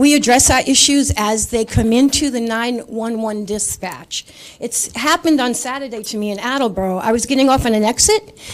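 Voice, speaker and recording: Speaking with a Rhode Island accent, a woman with a fairly high pitch talks at a fairly quick pace with hardly any pauses and ordinary pitch variation. Noticeable background noise is present. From Rhode Island, Coventry. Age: 60s. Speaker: resident speaking at public comment. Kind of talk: public comment at council meeting.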